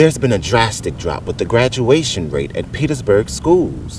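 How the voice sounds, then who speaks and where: A man talks at a moderate pace, his voice making very wide pitch swings over noticeable background noise. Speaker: TV news reporter. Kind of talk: TV news report.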